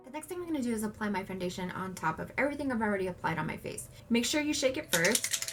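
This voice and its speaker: Over noticeable background noise, a woman with a fairly high pitch races at a very fast pace with hardly any pauses and very wide pitch swings. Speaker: makeup tutorial creator. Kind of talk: makeup tutorial talk to camera.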